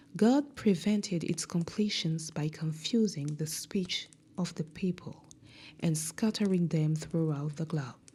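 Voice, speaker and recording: The speech comes at a very slow pace. It is delivered with a non-native accent. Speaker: podcast host reading a book. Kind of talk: reading aloud.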